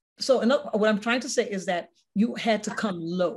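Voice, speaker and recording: Speaking at a moderate pace, a woman has a fairly high voice. Her tone is somewhat breathy. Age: old. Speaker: talk show host. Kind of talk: interview with religious reflection. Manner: conversational, repetitive.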